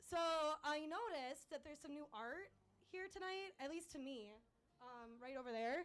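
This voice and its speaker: The voice is loud, with lively intonation. It moves at a fairly slow pace against noticeable background noise. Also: woman. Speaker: open mic performer. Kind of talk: stand-up. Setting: stage with audience. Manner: halting.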